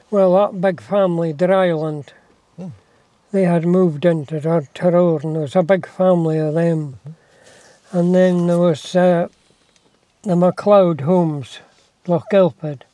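A man with a West Highland Scottish accent, high in pitch with a dark, mellow tone, fairly even intonation, a fairly slow pace and long, frequent pauses. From Scotland, Isle of Mull. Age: 80s+. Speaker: retired farmer. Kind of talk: casual chat. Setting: in a car, talking through window.

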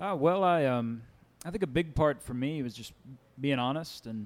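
At a fairly quick pace, a man talks in a Kentucky accent. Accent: Kentucky Southern US. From Winchester, Kentucky. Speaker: folk singer-songwriter. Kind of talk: live showcase talk. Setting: live venue with audience.

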